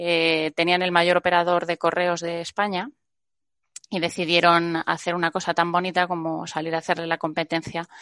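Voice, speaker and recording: A woman at a moderate pace in a normal speaking voice, dry and close with no echo, over a quiet background. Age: 40s. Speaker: venture capital investor. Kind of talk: interview.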